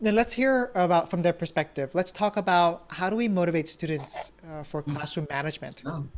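An ordinary speaking voice, a woman at a fairly low pitch and fairly quick pace, with lively intonation and hardly any pauses. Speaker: podcast host, former teacher. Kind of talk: podcast interview.

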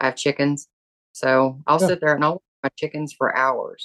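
A woman with a Southern US accent and a very deep, low pitch is heard in a dry, close sound with no echo. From US South. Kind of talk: interview.

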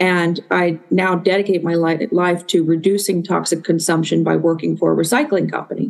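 A woman speaks with an American accent, fairly low pitch and vocal fry. Her intonation is fairly even, her loudness very even, with hardly any pauses. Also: moderate pace. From Illinois. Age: 40s. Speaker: environmental scientist and pageant titleholder. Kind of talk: casual interview.

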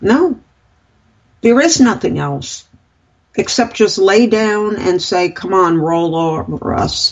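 Speaking very slowly in an American accent, a woman uses lively intonation and leaves long, frequent pauses. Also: medium pitch for a woman. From United States. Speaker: radio talk show co-host. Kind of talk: political commentary chat. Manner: animated.

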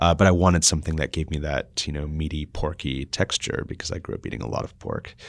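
A man with an American accent and a very deep, low pitch talks very fast with vocal fry and fairly even intonation, in a very clean recording with a silent background. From mixed, US and Austria. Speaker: food startup co-founder. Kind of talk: interview. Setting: in person, location change late in interview.

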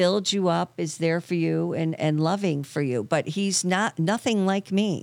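A woman with a plain, everyday voice speaks fairly slowly at a fairly low pitch with lively intonation in a very clean recording with a silent background. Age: 60s. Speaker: therapist. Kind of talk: casual chat.

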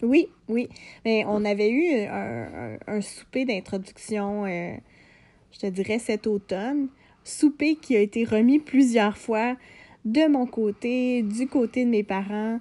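A woman with a fairly high pitch and a dark, mellow tone talks at a very slow pace, her loudness swinging widely over a quiet background. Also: ordinary pitch variation. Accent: Quebec. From Quebec, Lanaudière region. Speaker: podcast co-host. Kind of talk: casual chat. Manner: halting.

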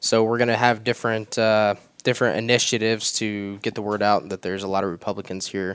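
A man with a normal speaking voice, medium pitch, an American accent and a fairly quick pace. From North Carolina, then northern Indiana. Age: 20s. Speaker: marketing manager. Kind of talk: podcast interview. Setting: studio.

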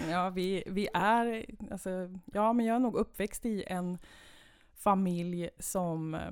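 This woman's voice sits at a medium pitch. It rises and falls in an ordinary way. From Sweden, Värmland (Kil). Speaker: municipal head of culture. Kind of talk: interview.

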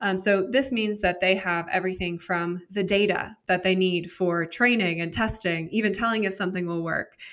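A woman's medium-pitched voice with an American accent, ordinary pitch variation, and a moderate pace. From US West Coast, San Jose, California. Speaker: startup founder and CEO. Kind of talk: interview.

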